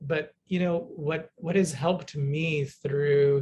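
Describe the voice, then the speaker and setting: A man's somewhat breathy, fairly high voice at a very slow pace with fairly even intonation. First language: Bengali. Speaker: fiction writer. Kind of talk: panel discussion.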